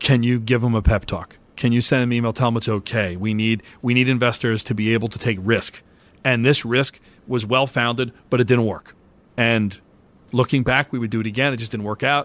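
A plain, everyday voice speaks at a fairly quick pace with fairly even intonation. The recording is very clean, with a silent background. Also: man, medium pitch for a man. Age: 50s. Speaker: investment strategist at a private bank. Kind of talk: interview.

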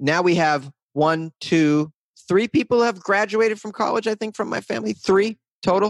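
A man's high-pitched voice with lively intonation, in a dry, close sound with no echo. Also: moderate pace. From Boston area, US. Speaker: comedian and podcaster. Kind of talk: casual interview chat. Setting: remote call, home studio mic.

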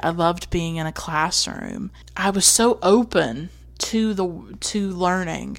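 The speaker has a Southern US accent. The pace is fairly slow, and the pitch varies in an ordinary way. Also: woman. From North Carolina, US South. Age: 20s. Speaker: podcast host. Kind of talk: solo personal monologue about films. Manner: reflective, personal, nostalgic.

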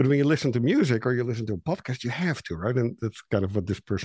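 A man with a Dutch accent at a very fast pace, ordinary pitch variation, dry and close with no echo against a quiet background. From Netherlands. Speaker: marketing consultant and author. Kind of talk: interview. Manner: animated.

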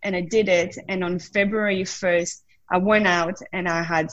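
This woman has a French accent and a medium pitch. Her intonation stays fairly even. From southern France. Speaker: wellness coach and former drinks brand ambassador. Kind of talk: casual interview.

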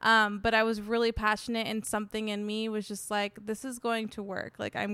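A woman with an American accent talks at a fairly quick pace with a fairly high pitch. It is a plain, everyday voice. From San Diego, California. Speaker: recipe developer and blogger. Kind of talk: casual interview chat. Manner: casual, many fillers, laughs often.

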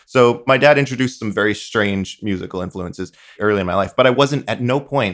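Heard on a very clean recording with a silent background, a man with a Midwestern accent speaks at a fairly quick pace. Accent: general American, Midwestern-leaning. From US Northeast (eastern Long Island, New York). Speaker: musician. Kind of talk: casual chat.

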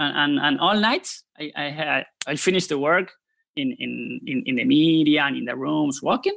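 Lively intonation marks this man's fairly high voice. He keeps a moderate pace. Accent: Spanish. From Argentina, Buenos Aires. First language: Spanish. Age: 30s. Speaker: poker author. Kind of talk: casual interview. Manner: halting, many repetitions.

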